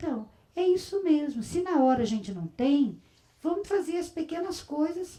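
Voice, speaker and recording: Dark, mellow female voice with pitch that swings very widely. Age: 60s. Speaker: religious community leader. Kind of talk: spiritual talk. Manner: conversational.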